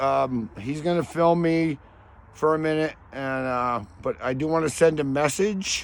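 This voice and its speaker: The speaker is a man with a plain, everyday voice and a fairly high pitch. He talks at a fairly slow pace with ordinary pitch variation. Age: 60s. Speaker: retired scientist and ornithologist. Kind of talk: interview answer. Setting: outdoors. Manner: casual, profane.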